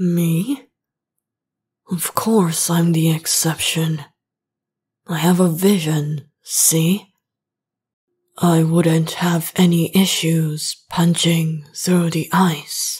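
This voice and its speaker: In a put-on character voice, the speaker talks at a very slow pace with fairly even intonation and long, frequent pauses. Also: woman, fairly low pitch for a woman. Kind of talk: ASMR roleplay. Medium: solo performance. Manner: teasing, confident.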